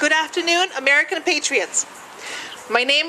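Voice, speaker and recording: A woman's raised, projected voice at a moderate pace, with ordinary pitch variation and noticeable background noise. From Czechoslovakia. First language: Czech. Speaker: political speaker. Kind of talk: prepared speech.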